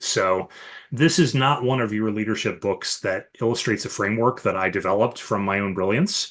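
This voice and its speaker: A man with an American accent talks at a fairly quick pace and a medium pitch, in an ordinary speaking voice with lively intonation. The background is quiet. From US Midwest, Chicago area. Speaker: leadership coach and author. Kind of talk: podcast interview.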